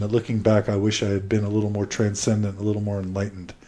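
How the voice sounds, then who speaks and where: In an American accent, the voice has a dark, mellow tone and runs at a very fast pace. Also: man. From Texas (Houston). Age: 30s. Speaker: podcast host. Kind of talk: interview, telling own life story. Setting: at home.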